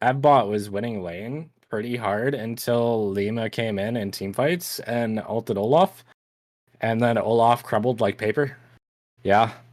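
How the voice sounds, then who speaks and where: In a Canadian accent, a man with a normal speaking voice and medium pitch speaks at a fairly slow pace with ordinary pitch variation, on a very clean recording with a silent background. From Canada. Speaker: esports caster. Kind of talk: live commentary. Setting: live stream.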